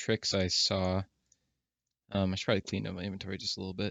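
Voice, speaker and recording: A man talks at a very fast pace. His words come out mumbled. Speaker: gaming video creator. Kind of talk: gameplay commentary. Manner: mumbling; casual, hesitant with fillers.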